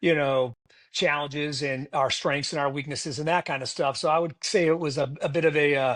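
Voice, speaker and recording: A fairly quick delivery with an American accent, against a quiet background. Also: man. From Massachusetts. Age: 60s. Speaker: retired air force officer. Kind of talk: podcast interview.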